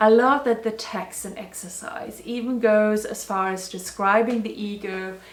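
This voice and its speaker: A woman with a non-native accent and a fairly high pitch speaks at a very slow pace, with ordinary pitch variation. Music plays in the background, and the room echo is audible. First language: not English. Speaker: spiritual video blogger. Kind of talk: personal reflection monologue. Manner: casual.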